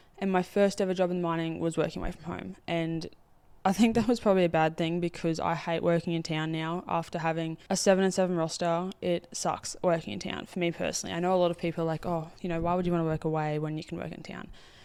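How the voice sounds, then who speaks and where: Speaking with an Australian accent, a woman uses a fairly low pitch. She goes at a very fast pace with hardly any pauses. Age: 20s. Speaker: podcast host, mine worker. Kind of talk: casual monologue. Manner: animated.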